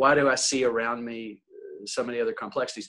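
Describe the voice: This man talks fast with an American accent, his medium pitch carrying a fairly bright tone and fairly even intonation.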